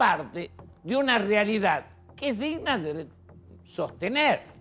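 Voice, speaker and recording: Very wide pitch swings run through the voice while music plays in the background. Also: man. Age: 70s. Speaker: TV panelist. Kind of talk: TV panel discussion.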